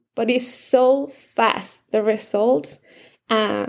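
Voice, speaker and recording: This woman has a fairly high pitch and vocal fry. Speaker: life coach. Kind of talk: casual chat.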